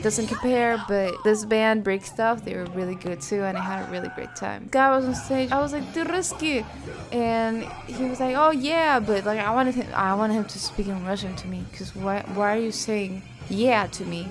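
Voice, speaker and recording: Over music in the background, a woman with a fairly high pitch speaks at a moderate pace, her pitch varying in an ordinary way amid audible room echo. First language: Spanish. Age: 19. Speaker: YouTuber. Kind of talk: casual vlog narration.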